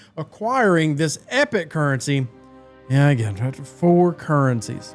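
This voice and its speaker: A man's voice with music in the background. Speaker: mobile game content creator. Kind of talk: gaming tips video talk.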